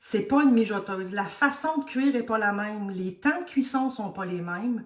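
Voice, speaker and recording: A woman with a Quebec accent speaks at a fairly slow pace with fairly high pitch. Her pitch varies in an ordinary way, and the room echo is audible. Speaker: cooking instructor. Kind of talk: live tutorial. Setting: live stream.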